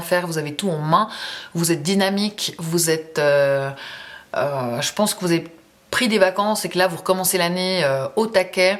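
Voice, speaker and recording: Noticeable background noise accompanies a woman speaking at a moderate pace and a fairly low pitch. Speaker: tarot reader. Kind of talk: tarot reading monologue. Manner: casual, hesitant with fillers.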